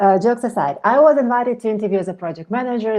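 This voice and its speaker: A woman with a Ukrainian accent and a dark, mellow tone. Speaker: project management expert. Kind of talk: online meetup talk.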